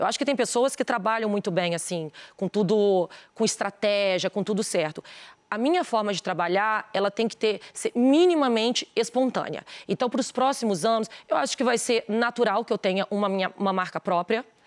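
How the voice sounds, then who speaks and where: Speaking at a moderate pace, a woman with a fairly high pitch and ordinary pitch variation keeps her loudness very even, in a very clean recording with a silent background and a dry, close sound with no echo. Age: 40s. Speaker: businesswoman and influencer. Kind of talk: TV interview. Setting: TV studio.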